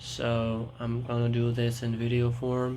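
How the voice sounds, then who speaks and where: Over noticeable background noise, a man with a non-native accent talks at a medium pitch. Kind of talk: casual talk to camera. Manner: rambling, hesitant.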